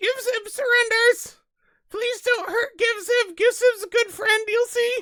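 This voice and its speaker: The speaker uses a put-on character voice at an extremely high pitch. The delivery runs at a fairly slow pace. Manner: pleading, eager to please.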